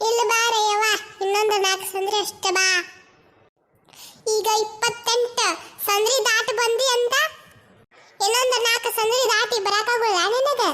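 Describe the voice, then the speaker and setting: A woman's cartoonish character voice, extremely high-pitched and monotone and flat, at a very slow pace with very even loudness. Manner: chatty, coaxing.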